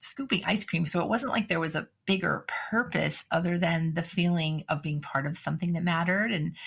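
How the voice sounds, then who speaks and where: Speaking at a moderate pace with an American accent, a woman has a fairly low pitch, a somewhat breathy quality and ordinary pitch variation. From New England (Cape Cod, Massachusetts). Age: 60s. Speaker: author and workplace consultant. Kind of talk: podcast interview.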